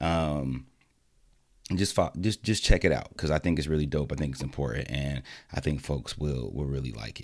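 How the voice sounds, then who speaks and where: A man's very deep, low voice moves at a moderate pace with ordinary pitch variation. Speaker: education podcast host, academic. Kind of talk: solo commentary podcast. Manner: halting with frequent repetitions.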